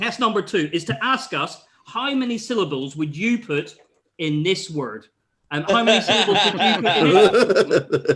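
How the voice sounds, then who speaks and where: A man's high voice with lively intonation at a moderate pace. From Northern Ireland. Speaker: comedian. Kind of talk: stand-up. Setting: video call.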